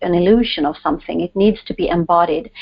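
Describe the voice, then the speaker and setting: The speaker has a Swedish accent and fairly even intonation. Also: woman. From Sweden. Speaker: author, guest. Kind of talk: interview.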